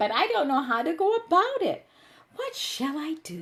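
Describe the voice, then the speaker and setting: A woman's put-on character voice, extremely high-pitched, at a moderate pace. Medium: read story.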